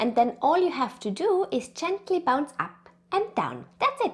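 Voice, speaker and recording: A woman with an Austrian accent speaks at a moderate pace, her pitch swinging very widely. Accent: Austrian, noticeable. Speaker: pregnancy and birth consultant. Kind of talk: educational tutorial.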